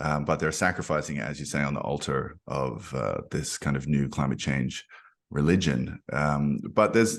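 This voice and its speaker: In an Australian accent, a man with a very deep, low pitch and vocal fry talks at a moderate pace with ordinary pitch variation. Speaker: podcast host. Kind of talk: podcast interview.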